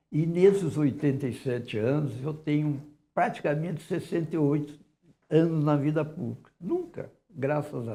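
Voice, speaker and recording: A man speaks at a fairly slow pace with a dark, mellow tone and a fairly high pitch. He sounds somewhat breathy, and his loudness swings widely. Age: 80s+. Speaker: director of a historic house museum. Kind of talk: TV interview.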